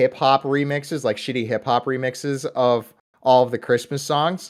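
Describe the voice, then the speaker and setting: In a very clean recording with a silent background, a man with a Midwestern US accent talks at a medium pitch with fairly even intonation. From US Midwest. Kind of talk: casual chat.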